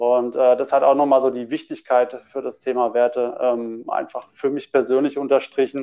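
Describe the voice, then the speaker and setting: A man at a medium pitch and moderate pace, monotone and flat in intonation, with hardly any pauses. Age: 30s. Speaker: personal development coach and manager. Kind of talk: casual chat. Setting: remote call.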